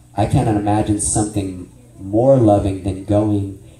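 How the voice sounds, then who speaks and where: There is light background noise and audible room echo. A man is speaking. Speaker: ministry teacher. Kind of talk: sermon-style training lecture. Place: church.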